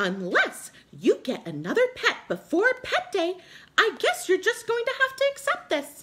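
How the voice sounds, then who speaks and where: A squeaky, put-on character voice leaps through very wide pitch swings. The pace stays moderate. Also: woman, extremely high pitch for a woman. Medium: read story. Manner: warm, soothing.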